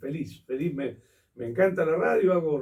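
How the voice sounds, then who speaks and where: A man with a Rioplatense accent, somewhat breathy, fairly high in pitch, dark and mellow in tone, at a moderate pace. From Argentina. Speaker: theatre historian and critic. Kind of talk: interview answer.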